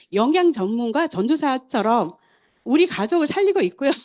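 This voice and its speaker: A woman with a high pitch speaks at a fairly quick pace, her pitch swinging very widely, against a quiet background. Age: 60s. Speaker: testimonial speaker at supplement sales meeting. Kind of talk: testimony.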